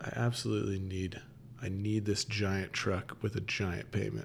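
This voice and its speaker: A man with vocal fry and a fairly low pitch at a moderate pace, on a very clean recording with a silent background. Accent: American. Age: 30s. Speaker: firefighter. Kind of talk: casual chat. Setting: studio.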